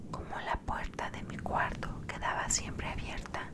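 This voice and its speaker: Whispering from a woman amid noticeable background noise. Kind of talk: whispered horror story reading. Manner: whispered, soft, slow.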